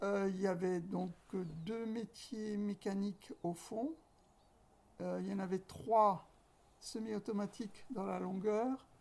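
A woman at a medium pitch, very slow pace, fairly even intonation, and long, frequent pauses. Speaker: textile shop owner. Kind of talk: interview. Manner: halting.

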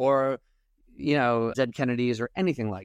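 A man with a plain, everyday voice at medium pitch and a fairly quick pace, in a dry, close sound with no echo and a quiet background. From New York, Long Island. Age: 50s. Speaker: comedian. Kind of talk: casual chat.

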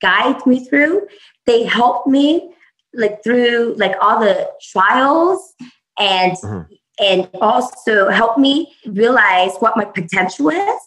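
Lively intonation carries this voice with a Californian accent. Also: woman. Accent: Californian American. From US West Coast (San Jose, California). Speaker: startup founder. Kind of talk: interview.

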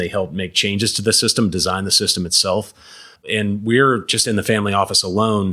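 A man's plain, everyday voice, fairly low in pitch, with fairly even intonation. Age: 40s. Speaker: financial advisor. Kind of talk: interview.

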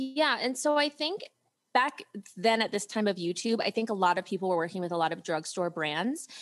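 Over music in the background, a woman with an American accent talks at a fairly quick pace, her pitch swinging very widely. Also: medium pitch for a woman. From US Midwest, Ohio. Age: 30s. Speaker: content creator and entrepreneur. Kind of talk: interview.

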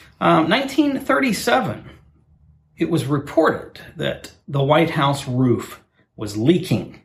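A man talks at a very slow pace with vocal fry. His pitch swings very widely. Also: fairly high pitch for a man. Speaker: podcast host. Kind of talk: casual chat. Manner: self-deprecating, joking.

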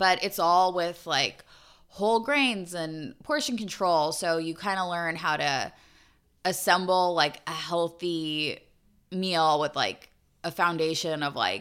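A woman with an unremarkable speaking voice talks at a fairly slow pace and fairly low pitch. Her pitch variation is ordinary, and the recording is very clean with a silent background. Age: 30s. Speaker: podcast co-host. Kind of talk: casual chat.

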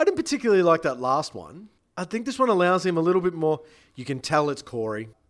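A man with an Australian accent, high-pitched, at a very fast pace with very wide pitch swings. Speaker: music PR owner and podcast host. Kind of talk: casual chat.

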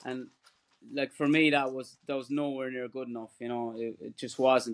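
Speaking at a moderate pace with an Irish accent, a man uses a medium pitch and monotone, flat intonation, with big swings in loudness. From Ireland. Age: 40s. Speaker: ultra runner. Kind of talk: casual chat.

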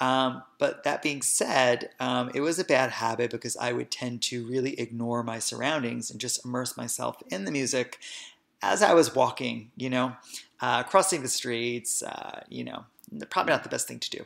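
A man with an American accent speaks in a normal speaking voice at a moderate pace. His pitch is medium, with ordinary pitch variation and big swings in loudness. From New Jersey, Hoboken. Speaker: podcast host, wellness practitioner. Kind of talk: casual storytelling; podcast hosting monologue.

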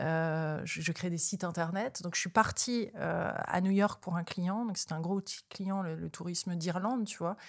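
A woman with an unremarkable speaking voice at medium pitch. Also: very clean recording, silent background. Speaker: spiritual interviewer and author. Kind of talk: casual chat.

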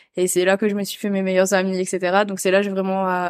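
With monotone, flat intonation, a woman speaks at a medium pitch on a very clean recording with a silent background. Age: 20s. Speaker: content creator and photo model. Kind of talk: casual interview chat. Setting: at the host's home.

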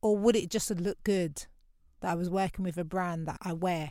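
A woman speaks with a South London accent and ordinary pitch variation. The recording is very clean and the background silent. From London (Lewisham, south London). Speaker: podcast host. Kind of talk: personal reflective monologue. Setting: home recording in wardrobe.

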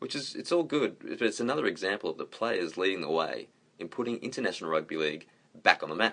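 With an Australian accent, a man talks at a very fast pace. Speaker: podcast co-host. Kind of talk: recorded segment, commentary.

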